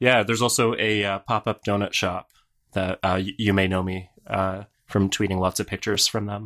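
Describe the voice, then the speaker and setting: The man's voice is fairly low and monotone, with flat intonation. He keeps a moderate pace, and the sound is dry and close with no echo. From Canada. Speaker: software company founder. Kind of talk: casual chat.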